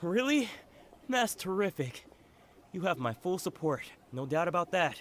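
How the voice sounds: A put-on character voice with a fairly bright tone and big pitch swings. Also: man, high pitch for a man, fairly slow pace.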